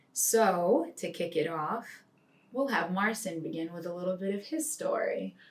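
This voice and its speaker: A woman with an American accent and an unremarkable speaking voice, medium in pitch, at a moderate pace. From Rhode Island, US. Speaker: financial planner. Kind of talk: casual chat.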